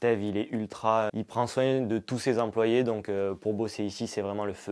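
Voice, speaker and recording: The speaker has a southern French accent and a fairly slow pace. The recording is very clean, with a silent background. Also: man. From southern France. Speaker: legal staff at company. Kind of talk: casual self-introduction.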